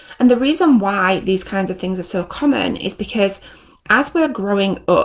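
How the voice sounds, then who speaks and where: A woman's medium-pitched voice, with ordinary pitch variation, comes through a very clean recording with a silent background. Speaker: NLP trainer and coach. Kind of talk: live stream teaching. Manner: fast; animated.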